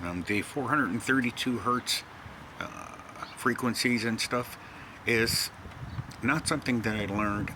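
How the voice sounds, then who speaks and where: A man speaks against noticeable background noise. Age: old. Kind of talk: casual talk to camera. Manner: rambling, hesitant.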